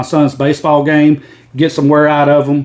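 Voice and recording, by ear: This man speaks with a Southern US accent. His pitch is fairly high. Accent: Southern American.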